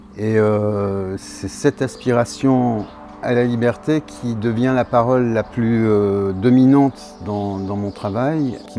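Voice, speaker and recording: Very slow speech with ordinary pitch variation, with music in the background. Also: man. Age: 60s. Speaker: sculptor. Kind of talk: interview. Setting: artist's studio. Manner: halting, many hesitations.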